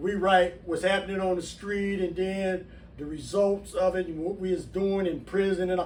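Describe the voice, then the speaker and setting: Moderately paced speech from a high-pitched man, with audible room echo. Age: 60s. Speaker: former prisoner and channel host. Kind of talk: personal testimony to camera. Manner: casual, conversational.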